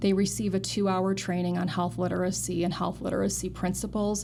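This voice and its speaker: The room echo is audible around this woman's voice. She speaks at a fairly quick pace. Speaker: nurse and clinical research director. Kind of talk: interview. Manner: fast.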